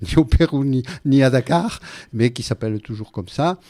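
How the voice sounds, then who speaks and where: Over a very clean recording with a silent background, a man speaks with a southwestern French accent. His tone is dark and mellow, with ordinary pitch variation. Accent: Gascon. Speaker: radio guest, writer and former referee. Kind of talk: radio interview. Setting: radio studio. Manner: hesitant, many fillers.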